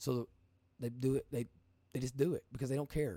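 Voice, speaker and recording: In a very clean recording with a silent background and a dry, close sound with no echo, a man with an Appalachian accent speaks at a medium pitch in a dark, mellow tone. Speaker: podcast host and livestreamer. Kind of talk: informal, colloquial grammar. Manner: energetic, casual, conversational.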